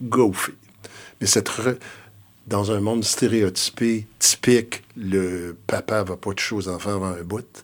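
Fairly low in pitch, a man speaks with fairly even intonation. His pace is very slow. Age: 60s. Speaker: retired school principal and education consultant. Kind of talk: interview conversation.

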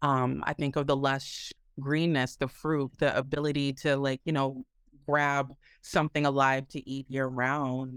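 A woman's very deep, low voice in an American accent, monotone and flat, at a fairly slow pace, with a dry, close sound and no echo. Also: very clean recording, silent background. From US Midwest, Minneapolis. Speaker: author and activist. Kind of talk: interview.

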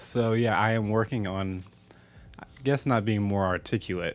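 A man's fairly low-pitched voice at a moderate pace, a plain, everyday voice. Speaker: podcast host. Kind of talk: casual chat.

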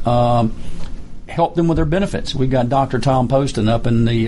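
A man speaks at a medium pitch against noticeable background noise. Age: 70s. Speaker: retired army colonel and veterans advocate. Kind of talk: radio interview. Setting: studio.

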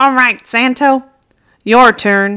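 A woman uses a put-on character voice with a high pitch and fairly even intonation. The recording is very clean, with a silent background. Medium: read story. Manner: formal, ceremonious announcer.

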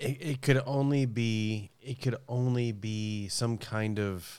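A man's voice with ordinary pitch variation, on a very clean recording with a silent background. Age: 40s. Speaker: voice actor. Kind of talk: casual chat.

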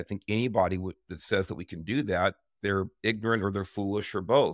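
A man speaks in an unremarkable speaking voice with an American accent. The sound is dry and close with no echo, and the recording is very clean with a silent background. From Los Angeles area, California. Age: 60s. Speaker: retired highway patrol chief. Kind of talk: casual discussion.

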